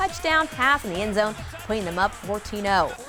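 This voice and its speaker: Music plays in the background as a woman speaks. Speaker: sportscaster. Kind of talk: TV sports newscast.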